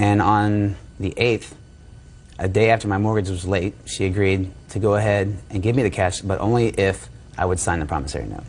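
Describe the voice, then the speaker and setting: Through audible room echo, a man speaks at a fairly low pitch with ordinary pitch variation. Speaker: defendant in small claims case. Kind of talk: courtroom testimony. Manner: fast.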